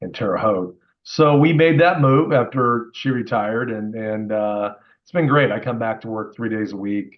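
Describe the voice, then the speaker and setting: A man speaks with a Midwestern US accent. He keeps a moderate pace. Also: medium pitch for a man, ordinary pitch variation. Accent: US Midwest. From Indiana, US Midwest. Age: 60s. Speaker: car dealer. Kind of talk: interview.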